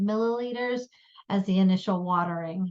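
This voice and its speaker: A woman's unremarkable speaking voice at a moderate pace, with ordinary pitch variation and a quiet background. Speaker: science education program presenter. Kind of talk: workshop presentation. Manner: many filler ums.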